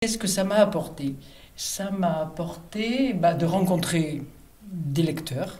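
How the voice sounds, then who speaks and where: A woman with fairly low pitch speaks at a very slow pace, with ordinary pitch variation, big swings in loudness, and audible room echo. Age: 70s. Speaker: reader on a book prize selection committee. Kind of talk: interview testimony. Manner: hesitant, with fillers and self-corrections.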